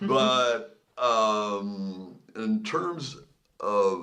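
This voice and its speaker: Speaking with lively intonation and a fairly low pitch, the man is heard with audible room echo. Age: 70s. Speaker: podcast co-host. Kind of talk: casual chat.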